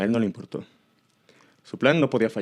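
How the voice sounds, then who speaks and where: A medium-pitched man talks at a fairly quick pace. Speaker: horror story narrator. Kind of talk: horror story narration.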